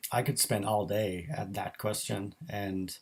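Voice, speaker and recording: A man talks with a fairly low pitch and a somewhat breathy voice. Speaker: graphic designer. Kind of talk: live stream Q&A. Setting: live stream. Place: home room. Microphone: built-in microphone.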